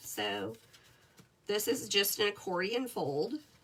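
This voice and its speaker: Noticeable background noise runs behind a woman whose pitch stays medium. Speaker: paper crafting demonstrator. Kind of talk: tutorial. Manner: casual, chatty.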